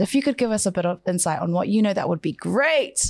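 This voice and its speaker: The sound is dry and close without echo, on a very clean recording with a silent background. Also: woman. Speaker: radio co-host. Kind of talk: casual chat. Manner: animated.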